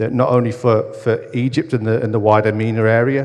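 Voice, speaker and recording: A man speaks in a northern English accent. His pace is fairly quick. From northern England. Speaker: academic researcher in football business. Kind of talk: conference talk.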